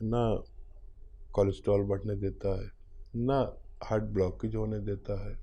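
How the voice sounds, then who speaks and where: Audible room echo surrounds a man whose fairly low, dark, mellow voice stays monotone and flat, with long, frequent pauses. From India. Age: 60s. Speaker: hakim (traditional medicine practitioner). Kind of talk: health advice interview.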